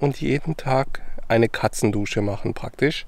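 This man speaks at a fairly slow pace. His intonation stays fairly even. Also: dry sound with no echo. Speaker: travel vlogger. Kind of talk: casual vlog chat. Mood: cheerful, relaxed. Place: forest. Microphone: phone near.

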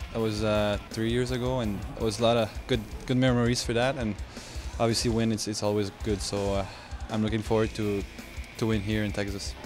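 Over clear background music, a man with a French-Canadian accent talks at a fairly quick pace in a fairly low voice with ordinary pitch variation and a dry sound with no echo. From Quebec, Canada. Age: 20s. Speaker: hockey goalie. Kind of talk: interview answer.

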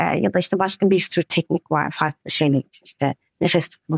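A woman at a moderate pace with ordinary pitch variation, dry sound with no echo against a quiet background. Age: 40s. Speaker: breathing coach. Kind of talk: interview. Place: home room.

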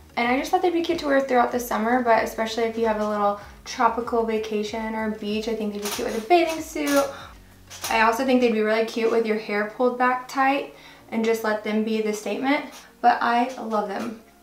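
A woman talks at a fairly quick pace with ordinary pitch variation. Audible room echo surrounds her voice. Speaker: fashion vlogger. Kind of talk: casual vlog chat. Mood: cheerful and enthusiastic. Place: home room.

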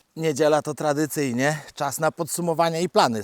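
A man with an ordinary speaking voice and a fairly high pitch talks at a moderate pace, recorded very cleanly with a silent background and a dry, close sound with no echo. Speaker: vlogger walking his dog and keeping farm animals. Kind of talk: casual monologue while walking. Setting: outdoors, forest walk with dog. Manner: chatty, relaxed, self-deprecating.

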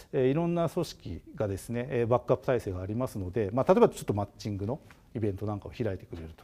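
Very fast male speech, dark and mellow, with lively intonation and big swings in loudness. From Japan, Hokkaido (Obihiro, Tokachi); Hokkaido, Japan. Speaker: agricultural design company director; guest lecturer. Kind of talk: lecture. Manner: hesitant, many filler sounds. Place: studio. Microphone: lapel.

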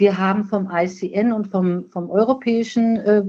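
A woman's medium-pitched, plain, everyday voice with fairly even intonation. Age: 60s. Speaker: nursing scientist, professional association president. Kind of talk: podcast interview.

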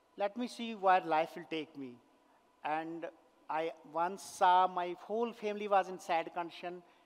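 A man's high-pitched voice at a moderate pace, with ordinary pitch variation. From Kashmir, India. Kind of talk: inspirational talk. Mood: earnest, emotional. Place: stage. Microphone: headset.

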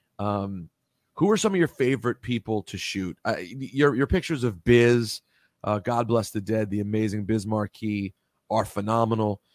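A man's medium-pitched voice at a moderate pace with ordinary pitch variation, in a quiet background with a dry sound and no echo. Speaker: radio show host. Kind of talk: casual interview. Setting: radio studio. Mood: relaxed, admiring. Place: home room. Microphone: studio mic.

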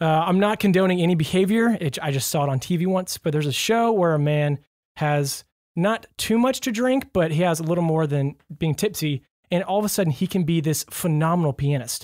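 This man speaks in a high pitch with ordinary pitch variation. His loudness stays very even. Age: 20s. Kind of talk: casual chat. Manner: animated.

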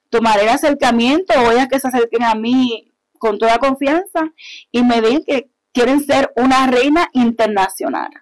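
Fairly slow speech from a woman, high in pitch with ordinary pitch variation, against a quiet background. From Puerto Rico (Yabucoa), born in Hartford; Puerto Rico. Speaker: artist promoter and pageant queen; guest. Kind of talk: interview, casual chat. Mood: warm, animated. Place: studio. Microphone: lapel.

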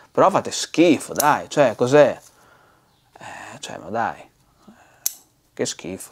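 A man's fairly high voice with vocal fry, lively intonation and big swings in loudness, at a very slow pace over a quiet background. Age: 40s. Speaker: bonsai seller. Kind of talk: casual vlog rant. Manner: animated. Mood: exasperated, mocking rant. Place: studio. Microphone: lapel.

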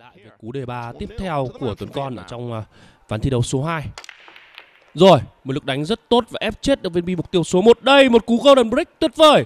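An animated, enthusiastic man at a high pitch, with very wide pitch swings and big swings in loudness, in a dry, close sound with no echo. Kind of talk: live sports commentary on a pool match. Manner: animated, excitable, enthusiastic, praising shots; fast, flowing play-by-play with informal asides to viewers.

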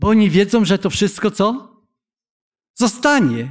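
Against a quiet background, a high-pitched man speaks very slowly with lively intonation. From Poland. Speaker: pastor. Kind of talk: sermon. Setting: church. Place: church. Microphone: podium.

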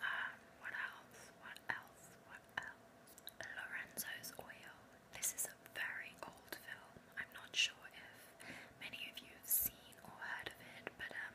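A soft-spoken woman whispering with long, frequent pauses over noticeable background noise. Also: fairly slow pace. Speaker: vlogger. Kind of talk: casual vlog chat. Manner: soft intimate ASMR whisper. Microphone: webcam.

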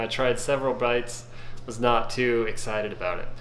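In a room with audible echo and light background noise, a man speaks at medium pitch and a fairly quick pace, his intonation fairly even. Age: 40s. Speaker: YouTube food reviewer. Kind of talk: casual video review. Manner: casual with frequent fillers. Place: kitchen. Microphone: phone near.

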